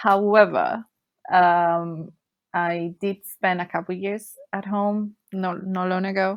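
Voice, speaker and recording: A woman with a Spanish accent speaks very slowly at a medium pitch. Her intonation stays monotone and flat. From Colombia, Bogota. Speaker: cruise ship worker and travel blogger. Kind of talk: casual interview. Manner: halting, many fillers.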